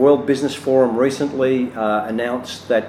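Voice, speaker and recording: This man talks at a moderate pace with an Australian accent and medium pitch. His intonation stays fairly even, and there is noticeable background noise. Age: 60s. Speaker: business consultant and speaker. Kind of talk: promotional self-introduction. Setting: cafe. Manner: hesitant, many fillers.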